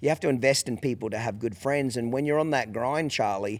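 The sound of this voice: A man talks at a fairly quick pace in a slightly mellow tone. His pitch variation is ordinary.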